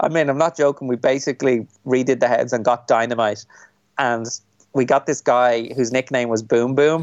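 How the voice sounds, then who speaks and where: A man with a Dublin accent speaks at a medium pitch, his intonation fairly even and his loudness very even. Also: moderate pace. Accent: Dublin Irish. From Ireland, Dublin. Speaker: film director. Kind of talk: interview.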